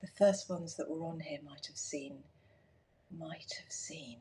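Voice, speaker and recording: A woman is speaking. Her pace is fairly slow. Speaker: garden designer livestreaming. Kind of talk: casual live stream chat. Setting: live stream at home, filming through doors. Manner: hushed, whispering at times; halting, with many fillers.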